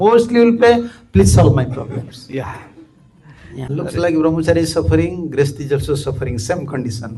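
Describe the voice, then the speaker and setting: Over noticeable background noise, a man at medium pitch talks at a fairly quick pace with very wide pitch swings. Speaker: monk and spiritual teacher. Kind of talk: religious lecture.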